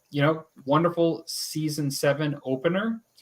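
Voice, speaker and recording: This man has a plain, everyday voice. He talks at a moderate pace with a fairly high pitch. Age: 50s. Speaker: podcast co-host. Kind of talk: casual chat. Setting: live stream.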